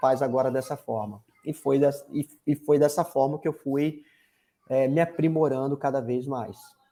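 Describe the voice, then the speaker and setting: Talking at a moderate pace, a man has a fairly high pitch and a dark, mellow tone. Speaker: marketing consultant. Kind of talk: interview. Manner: energetic.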